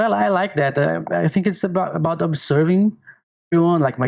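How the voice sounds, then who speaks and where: The speaker is a man. He talks with a Portuguese accent. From Brazil, small countryside town. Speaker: artist. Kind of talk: podcast interview. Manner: halting.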